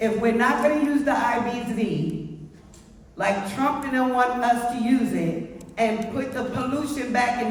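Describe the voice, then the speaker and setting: A New York accent against noticeable background noise. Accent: New York City. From Brooklyn, New York. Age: 60s. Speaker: community resident speaking at public meeting. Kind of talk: public comment. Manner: impassioned.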